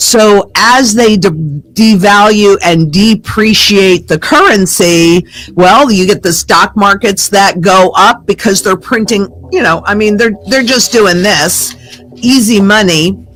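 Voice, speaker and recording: The pace is very slow, with very even loudness and ordinary pitch variation. The speaker has an American accent. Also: woman, medium pitch for a woman. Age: 70s. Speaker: precious metals investment analyst. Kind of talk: interview.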